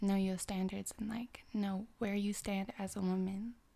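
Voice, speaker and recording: A woman speaks at a moderate pace and a medium pitch. Her voice is somewhat breathy, and her intonation is monotone and flat. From Canada. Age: 20s. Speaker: podcast guest, independent businesswoman. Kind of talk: casual chat.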